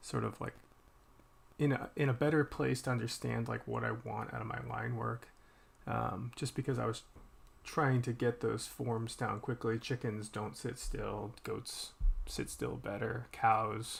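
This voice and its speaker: A man mumbling at a fairly slow pace with an American accent. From Boston, US. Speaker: artist streaming while drawing. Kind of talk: casual live-stream chat. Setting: live stream. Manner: halting, many fillers.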